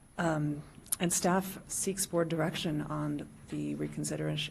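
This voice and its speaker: A woman speaks in a soft-spoken manner. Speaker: county planner. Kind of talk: staff report to public board.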